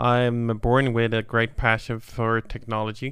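A man talks in a Swedish accent at a medium pitch. His intonation is monotone and flat. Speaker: tech company founder and CEO. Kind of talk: interview. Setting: studio. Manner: halting.

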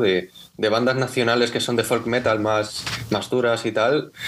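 Noticeable background noise sits behind a man speaking at a medium pitch. His intonation is monotone and flat. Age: young. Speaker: bass player in a folk band. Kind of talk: casual interview.

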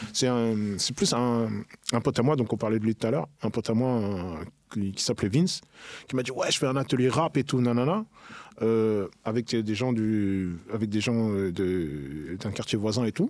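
The delivery comes at a fairly slow pace with ordinary pitch variation. It is an ordinary speaking voice. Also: man, medium pitch for a man. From Paris region then Le Havre, France. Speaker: rapper. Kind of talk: casual chat.

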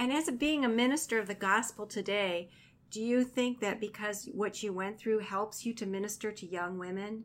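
A woman's fairly high, normal speaking voice at a moderate pace with ordinary pitch variation, on a very clean recording with a silent background. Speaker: radio host, chaplain. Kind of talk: radio interview. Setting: radio studio.

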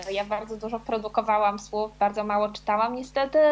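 Amid noticeable background noise, a woman speaks very fast with a fairly high pitch and fairly even intonation. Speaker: author. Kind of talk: casual chat. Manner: halting.

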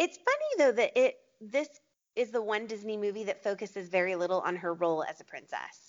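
A woman with a normal speaking voice talks at a fairly quick pace and a fairly high pitch. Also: lively intonation. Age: 30s. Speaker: small business owner. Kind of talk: casual chat.

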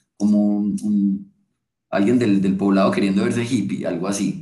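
This is a man speaking. His pitch is fairly low. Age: 20s. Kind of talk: casual chat.

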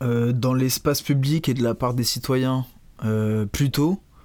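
At a very slow pace, a man talks in a medium pitch with fairly even intonation. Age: 20s. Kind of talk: casual interview.

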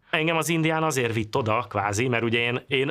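A man's unremarkable speaking voice, fairly quick, with ordinary pitch variation. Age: 40s. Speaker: computer programmer. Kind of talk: interview.

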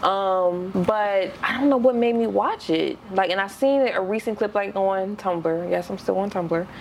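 Over noticeable background noise, a woman with a medium pitch speaks at a fairly slow pace with ordinary pitch variation and hardly any pauses. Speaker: podcast co-host. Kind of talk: casual chat.

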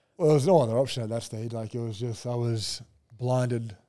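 Here a man talks at a moderate pace in an Australian accent. His tone is dark and mellow, and his pitch varies in an ordinary way. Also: long, frequent pauses, big swings in loudness. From Brisbane, Australia. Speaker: professional basketball player. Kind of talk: casual chat.

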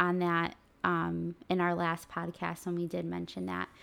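On a very clean recording with a silent background, a woman speaks at a very slow pace with a fairly low pitch and fairly even intonation. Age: 20s. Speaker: podcast co-host sharing her health journey. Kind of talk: casual chat.

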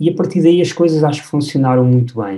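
His voice has a dark, mellow tone and sounds somewhat breathy. The man's pitch varies in an ordinary way. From Portugal, Batalha (Leiria district). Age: 30s. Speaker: film director. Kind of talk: podcast interview. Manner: halting, frequent repetitions.

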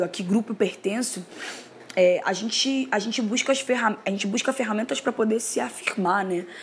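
Noticeable background noise sits behind a woman speaking in a Carioca accent at a fairly high pitch. She keeps a moderate pace with ordinary pitch variation. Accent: carioca Brazilian Portuguese. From Rio de Janeiro. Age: 20s. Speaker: poet and musician. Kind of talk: personal testimony. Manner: casual, hesitant with fillers.

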